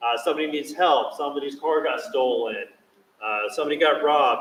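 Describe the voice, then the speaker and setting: Fairly quick in pace, a man talks at a fairly high pitch. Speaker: police school officer. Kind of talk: presentation to parents. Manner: loud, projecting.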